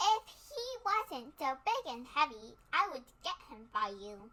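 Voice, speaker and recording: A woman puts on a character voice at a high pitch, moving at a fairly slow pace. Her pitch swings very widely and her loudness shifts in big swings. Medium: read story. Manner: kindly, straightforward.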